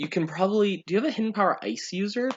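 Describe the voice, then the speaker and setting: A man talks at a very fast pace. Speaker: video game commentator. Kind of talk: live commentary.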